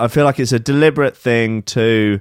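A man with an English accent talks at a medium pitch with ordinary pitch variation, recorded with a dry, close sound and no echo. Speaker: podcast co-host. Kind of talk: casual chat.

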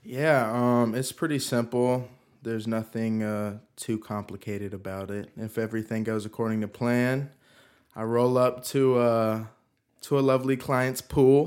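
In a very clean recording with a silent background, a man uses a plain, everyday voice at medium pitch, fairly slow pace and fairly even intonation. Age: 20s. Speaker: pool service worker. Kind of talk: casual chat.

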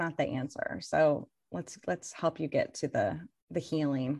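A woman with an unremarkable speaking voice at a fairly slow pace, ordinary pitch variation, and a quiet background. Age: 50s. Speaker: author and life coach. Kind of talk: interview.

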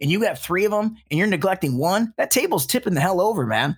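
Lively intonation runs through a man's American accent on a very clean recording with a silent background. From US Midwest (Metro Detroit, Michigan). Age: 30s. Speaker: TV producer in recovery. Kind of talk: casual interview, personal testimony.

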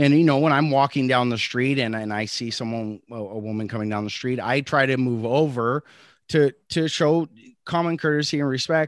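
A man speaks with a fairly high pitch. His pace is moderate. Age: 30s. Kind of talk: casual chat. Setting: video call. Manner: animated.

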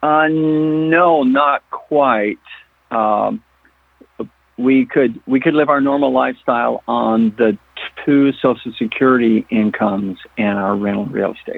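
A man's medium-pitched voice, with ordinary pitch variation, moves at a fairly slow pace. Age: 60s. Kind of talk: call-in question. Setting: phone call. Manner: halting.

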